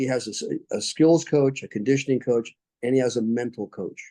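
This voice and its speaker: Dry and close with no echo, a man's dark, mellow voice carries an American accent and ordinary pitch variation. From United States. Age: 70s. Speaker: military veteran and mind coach. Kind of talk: interview conversation.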